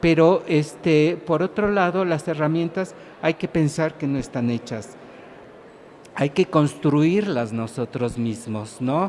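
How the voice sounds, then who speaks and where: Noticeable background noise runs through the clip. The speaking is very slow. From Mexico, Mexico City. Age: 60s. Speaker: writer and professor researcher. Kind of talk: public talk. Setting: small stage at a book fair with audience. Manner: halting, many fillers.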